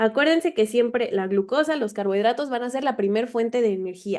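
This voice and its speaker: A woman speaks at a fairly quick pace. Her pitch is fairly high with ordinary variation, and her tone is dark and mellow. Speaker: biochemistry tutor. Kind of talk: online class lecture. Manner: fast.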